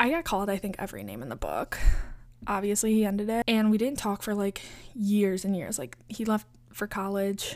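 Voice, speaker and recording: An ordinary speaking voice from a woman at a fairly quick pace with ordinary pitch variation, on a very clean recording with a silent background. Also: medium pitch for a woman. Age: 20s. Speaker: podcast host. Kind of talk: casual monologue. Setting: home bedroom. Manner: casual, filler-heavy.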